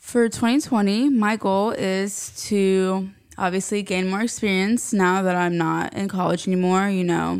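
A woman's voice, an ordinary speaking voice, medium in pitch, fairly slow and fairly even in intonation, with hardly any pauses. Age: 20s. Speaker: recent marketing graduate, new employee. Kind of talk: casual interview chat.

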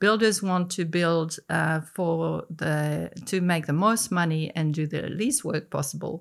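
A woman with a French accent, fairly low in pitch, at a fairly slow pace with hardly any pauses. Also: ordinary pitch variation, very clean recording, silent background.

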